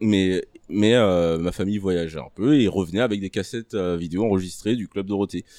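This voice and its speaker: A man with a dark, mellow tone speaks at a fairly low pitch and moderate pace, with ordinary pitch variation. The recording is very clean, with a silent background. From Ivory Coast. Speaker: podcast guest. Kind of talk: casual chat. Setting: live recording with audience.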